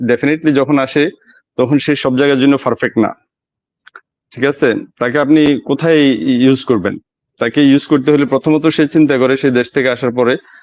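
A man with an ordinary speaking voice at a fairly high pitch, with fairly even intonation and very even loudness, in a dry, close sound with no echo. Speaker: migrant worker in Oman. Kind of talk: live talk show call-in. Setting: video call from a mobile phone shop.

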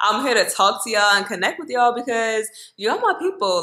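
A woman speaks at a fairly quick pace. The background is quiet, with audible room echo. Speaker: lifestyle vlogger. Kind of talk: casual vlog chat. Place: kitchen. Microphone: phone near.

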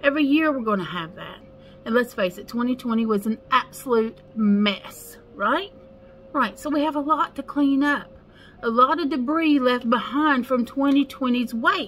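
With big swings in loudness, a woman talks at a fairly slow pace, her high pitch moving with ordinary variation. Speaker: spiritual life coach. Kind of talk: casual vlog chat. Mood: earnest, encouraging. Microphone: phone near.

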